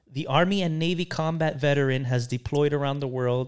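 On a very clean recording with a silent background, a man with an American accent talks at a moderate pace in a medium pitch, animated in tone, with ordinary pitch variation. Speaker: podcast co-host. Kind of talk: casual banter comedy podcast. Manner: joking, animated, profane.

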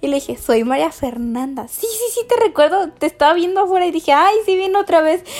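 A woman talks at a fairly quick pace with hardly any pauses, her extremely high pitch making very wide swings. Noticeable background noise runs underneath. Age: 20s. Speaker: podcast host. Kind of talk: casual monologue.

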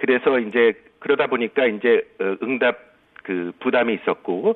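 A man talks in a medium register. The rise and fall of his pitch is ordinary. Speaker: statistics professor. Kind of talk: phone interview. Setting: phone call. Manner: halting.

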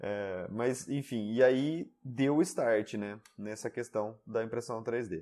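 On a very clean recording with a silent background, a man of medium pitch speaks at a very slow pace with hardly any pauses and ordinary pitch variation. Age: 30s. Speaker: 3D printing YouTuber. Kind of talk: interview.

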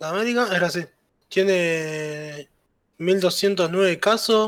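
A man with an Uruguayan accent, high-pitched, at a very slow pace with ordinary pitch variation. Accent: Rioplatense Spanish (Uruguayan). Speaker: podcast co-host. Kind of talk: casual chat.

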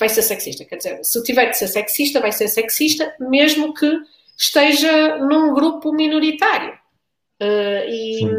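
With a European Portuguese accent, a woman speaks at a fairly slow pace, her high pitch carrying lively intonation. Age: 30s. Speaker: mother in a same-sex marriage. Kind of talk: panel discussion.

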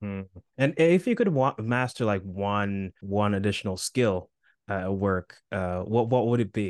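A man with a normal speaking voice, fairly low pitch and ordinary pitch variation, speaking at a fairly slow pace against a quiet background. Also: dry, close sound with no echo. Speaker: podcast host. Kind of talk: interview.

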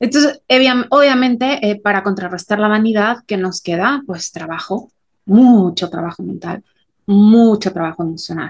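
Speaking at a fairly slow pace, a woman with a medium pitch and a somewhat breathy voice shows ordinary pitch variation. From Mexico. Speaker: podcast co-host. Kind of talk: casual chat.

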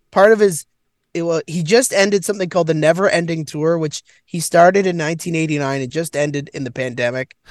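The speaker has a Canadian accent. The pace is very fast. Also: man, high pitch for a man, ordinary pitch variation. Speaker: comedian. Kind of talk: casual chat. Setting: in a car, remote call. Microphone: laptop on mobile hotspot.

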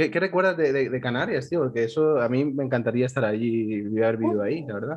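Very fast talk from a man at medium pitch, with hardly any pauses and ordinary pitch variation. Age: 20s. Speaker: podcast host. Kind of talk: casual chat. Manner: animated.

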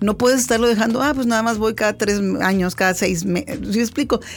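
Her voice sits fairly high for a woman, with ordinary pitch variation. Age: 50s. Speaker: podcast host. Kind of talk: interview. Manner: halting.

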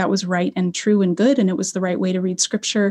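A woman speaks in a General American accent against a quiet background. Her voice is somewhat breathy, with a dark, mellow tone. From Colorado. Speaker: Old Testament professor. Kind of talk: interview.

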